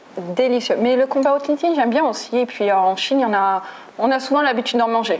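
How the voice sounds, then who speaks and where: Noticeable background noise accompanies a woman whose high-pitched voice has lively intonation. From French Basque Country. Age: 30s. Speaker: French teacher. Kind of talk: interview. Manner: hesitant, many fillers.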